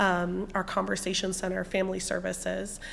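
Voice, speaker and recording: A woman speaks at a moderate pace in a medium pitch. Her voice has vocal fry. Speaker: university student success staff presenter. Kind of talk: presentation.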